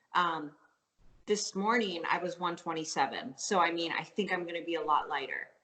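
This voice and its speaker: A woman with a slight Canadian accent, fairly low pitch, ordinary pitch variation, a bright, sharp tone and a moderate pace. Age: 30s. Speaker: professional fitness athlete. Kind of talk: interview. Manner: casual, filler-heavy.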